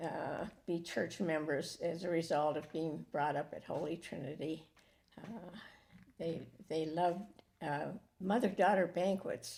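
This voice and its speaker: A woman's fairly low, dark and mellow voice, fairly slow and fairly even in intonation, with long, frequent pauses. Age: old. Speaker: church member. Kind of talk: casual chat. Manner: halting.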